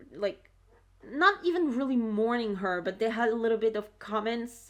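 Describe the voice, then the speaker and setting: Her fairly high voice swings very widely in pitch as this woman speaks. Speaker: video reaction creator. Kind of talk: casual video commentary. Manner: halting, many fillers and restarts.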